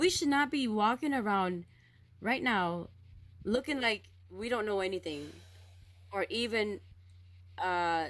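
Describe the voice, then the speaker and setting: In a very clean recording with a silent background, a woman talks at a fairly slow pace with long, frequent pauses, her tone animated and her intonation lively. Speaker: spiritual vlogger. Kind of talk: spiritual monologue. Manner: loud.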